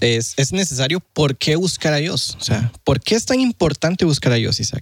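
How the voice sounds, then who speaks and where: Lively intonation at a moderate pace in a Costa Rican accent, with a dry, close sound and no echo. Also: man. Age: 20s. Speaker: student, former atheist. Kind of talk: casual chat, testimony.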